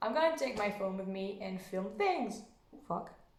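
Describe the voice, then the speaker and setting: With a French accent, a woman of fairly high pitch speaks with ordinary pitch variation amid audible room echo. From France. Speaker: vlogger. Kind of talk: casual vlog. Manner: halting.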